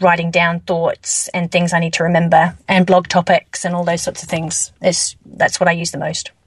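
Somewhat breathy, this woman's voice sits at a fairly low pitch. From England. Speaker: network marketing distributor, former osteopath. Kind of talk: interview.

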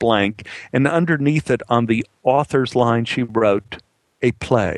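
Over a quiet background, a natural reading voice shows ordinary pitch variation.

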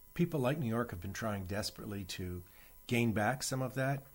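A somewhat breathy man speaks with ordinary pitch variation. The recording is very clean, with a silent background. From Canada (Toronto). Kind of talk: interview.

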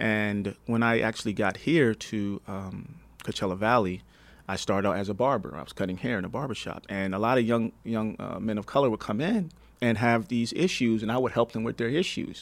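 On a very clean recording with a silent background, a man with an American accent talks in a normal speaking voice at a fairly quick pace, with a medium pitch and ordinary pitch variation. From New Jersey. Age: 40s. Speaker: pop artist. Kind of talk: interview.

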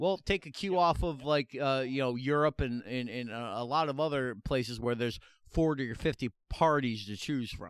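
Recorded very cleanly against a silent background, a man speaks at a medium pitch and a moderate pace with ordinary pitch variation, hardly any pauses, and a dry, close sound with no echo. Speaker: comedy podcast co-host. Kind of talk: casual chat. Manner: animated. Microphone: new recording equipment.

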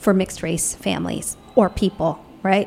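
A woman speaks at medium pitch with ordinary pitch variation. There is music in the background. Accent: American. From Ohio, US (after childhood in England and Canada). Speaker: documentary filmmaker and professor. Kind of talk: casual interview.

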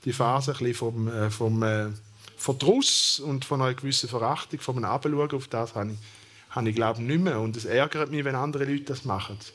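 This man talks at a fairly quick pace in a Thurgau accent. His pitch is medium and varies in an ordinary way. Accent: Thurgau Swiss German dialect. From eastern Switzerland, Thurgau. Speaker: sociologist, professor. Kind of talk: panel discussion.

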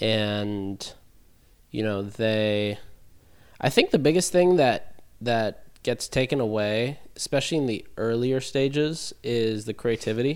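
With a plain, everyday voice, a man speaks at a fairly slow pace, keeping a medium pitch and ordinary pitch variation. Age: 20s. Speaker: e-commerce brand consultant. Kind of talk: casual chat.

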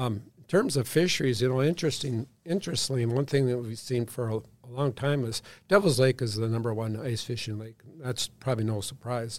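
An unremarkable speaking voice with ordinary pitch variation and a fairly quick pace, on a very clean recording against a silent background. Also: man, medium pitch for a man. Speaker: state fisheries chief. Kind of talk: casual interview.

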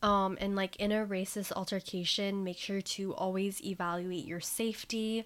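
A woman with an American accent, medium in pitch, at a moderate pace with hardly any pauses, on a very clean recording with a silent background. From Vietnam. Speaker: podcast host. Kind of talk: casual chat.

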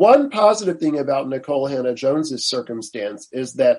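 At a moderate pace, a man with an ordinary speaking voice and fairly high pitch talks with lively intonation. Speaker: law professor and attorney. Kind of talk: interview. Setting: video call.

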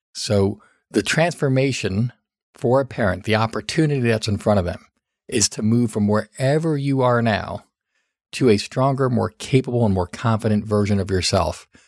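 Over a very clean recording with a silent background, a man with an unremarkable speaking voice talks at a medium pitch and moderate pace with ordinary pitch variation. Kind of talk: solo podcast talk giving advice.

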